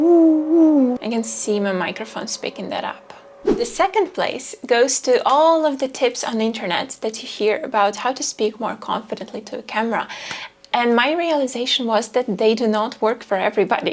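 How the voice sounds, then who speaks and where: Over noticeable background noise, a woman speaks quietly at a moderate pace, her high-pitched voice carrying lively intonation. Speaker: video creator. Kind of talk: talking-head vlog.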